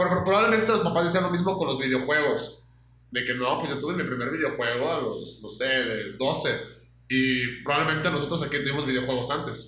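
A man talks at a fairly quick pace in a fairly high voice. The room echo is audible, and there is noticeable background noise. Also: ordinary pitch variation. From Mexico, Aguascalientes. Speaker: podcast co-host. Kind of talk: casual chat.

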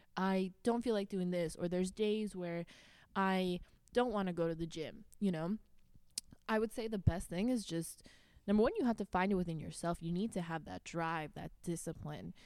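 A woman's plain, everyday voice at medium pitch and a moderate pace, in a very clean recording with a silent background. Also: ordinary pitch variation. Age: 20s. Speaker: fitness coach. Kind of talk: casual chat.

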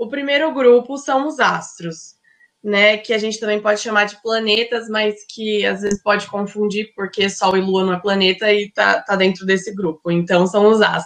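At a fairly slow pace, a woman talks in an ordinary speaking voice with a fairly high pitch. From Brazil, Ribeirão Preto (São Paulo state). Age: 20s. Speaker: fashion and astrology student. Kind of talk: casual interview chat.

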